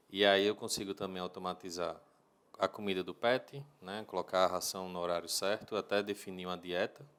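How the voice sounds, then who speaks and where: A northeastern Brazilian accent, fairly even intonation, and big swings in loudness. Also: man. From Brazil, Natal (Rio Grande do Norte). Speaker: home automation business owner. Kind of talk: interview.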